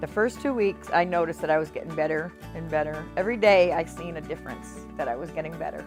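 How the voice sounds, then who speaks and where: A woman talking at a fairly quick pace over music in the background. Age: 60s. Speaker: patient with chronic lung disease. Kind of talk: patient testimonial interview.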